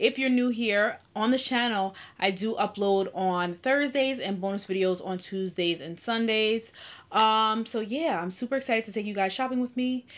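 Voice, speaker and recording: Ordinary pitch variation marks this speech, which keeps a moderate pace. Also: woman. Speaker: lifestyle vlogger. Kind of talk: casual vlog chat. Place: home room.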